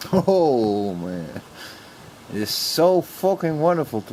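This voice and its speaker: Amid noticeable background noise, a man speaks at a very slow pace with very wide pitch swings. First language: Dutch. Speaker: YouTuber. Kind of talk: casual vlog monologue. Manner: halting.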